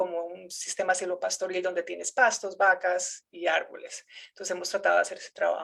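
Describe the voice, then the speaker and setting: A woman speaks with a Colombian accent. She keeps a moderate pace. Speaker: researcher, geography professor. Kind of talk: academic seminar lecture. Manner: halting, many fillers and repetitions.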